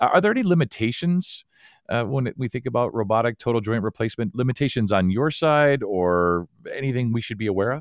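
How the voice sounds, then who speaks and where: The background is quiet behind a normal speaking voice. Its intonation is lively. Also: man, medium pitch for a man, fairly quick pace. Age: 50s. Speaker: podcast host. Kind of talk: interview; scripted outro.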